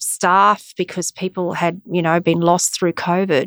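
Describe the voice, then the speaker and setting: Here a woman speaks at a medium pitch with an Australian accent. The sound is dry and close, with no echo. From Australia, Brisbane. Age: 50s. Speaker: arts executive. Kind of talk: interview.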